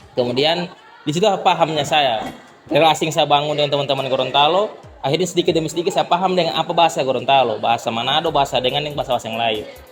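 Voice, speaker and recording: Over music in the background, a man talks very fast in a fairly high pitch with ordinary pitch variation. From Central Sulawesi, Indonesia (Tojo Una-Una, Wakai). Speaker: university student. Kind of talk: interview. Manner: halting, with fillers.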